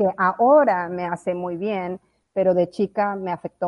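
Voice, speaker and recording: A woman's plain, everyday voice, fairly low in pitch, with fairly even intonation. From moved around Latin America (Colombia's La Guajira, Bolivia, Mexico). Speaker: blockchain consultant. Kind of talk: interview.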